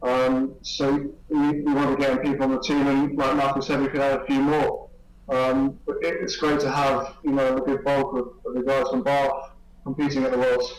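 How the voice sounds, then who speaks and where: Someone with a southern English accent talks at a moderate pace, in a monotone, flat intonation with very even loudness. Audible room echo and noticeable background noise surround the voice. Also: man, fairly high pitch for a man. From southern England, near London. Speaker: swimmer and university student. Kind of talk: interview. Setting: video call.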